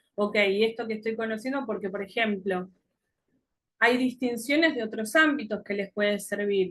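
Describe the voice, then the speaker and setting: A normal speaking voice at a moderate pace. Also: woman. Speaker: coaching teacher. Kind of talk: lecture.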